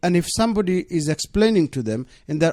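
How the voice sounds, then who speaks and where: A man with a Bengali accent and a high voice, swinging very widely in pitch, in a dry, close, very clean recording with no echo and a silent background. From Bangladesh. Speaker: deputy mayor. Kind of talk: radio interview. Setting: radio studio.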